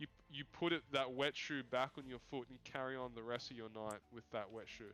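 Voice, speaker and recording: In an Australian accent, a man speaks at a fairly quick pace with medium pitch and a bright, sharp tone. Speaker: esports caster. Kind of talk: casual chat.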